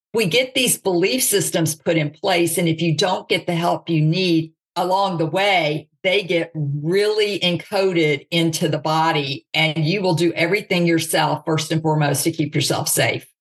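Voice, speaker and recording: A woman talks in an American accent with a plain, everyday voice, fairly low in pitch and with ordinary pitch variation. Her loudness is very even, and her moderate pace has hardly any pauses. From US South, Mississippi. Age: 50s. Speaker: author and speaker. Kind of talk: interview.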